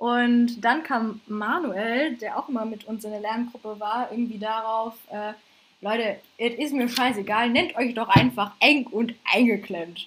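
At a fairly slow pace, a woman with an unremarkable speaking voice talks at a fairly high pitch with ordinary pitch variation. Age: 20s. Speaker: podcast co-host and stand-up comedian. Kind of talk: casual chat.

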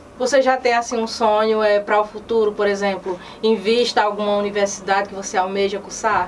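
Woman at medium pitch, fairly quick with hardly any pauses, monotone and flat, very even loudness, noticeable background noise. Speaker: web news program host. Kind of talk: news magazine presenting and interview.

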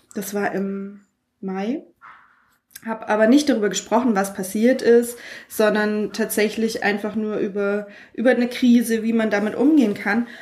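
Somewhat breathy and fairly high-pitched, a woman speaks at a moderate pace with fairly even intonation and long, frequent pauses. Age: 30s. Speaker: podcaster. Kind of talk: casual chat.

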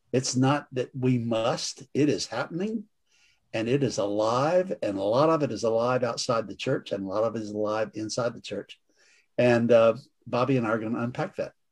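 At a moderate pace, a man talks in a plain, everyday voice, medium in pitch with ordinary pitch variation. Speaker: priest and author. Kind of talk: discussion and prayer.

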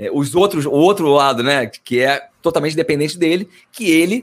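Pitch variation in this man's voice is ordinary. His voice sits high. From Brazil. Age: 30s. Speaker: marketing executive. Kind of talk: casual interview.

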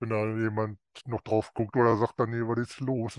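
Against a quiet background, a man speaks at medium pitch and a fairly slow pace, monotone and flat, with a dry, close sound and no echo. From North Rhine-Westphalia, Germany. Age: 50s. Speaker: coaching client. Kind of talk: interview.

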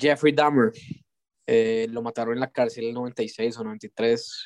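On a very clean recording with a silent background and a dry, close sound with no echo, a man at medium pitch talks very slowly in a monotone, flat intonation. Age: 20s. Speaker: podcast guest. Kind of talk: casual chat.

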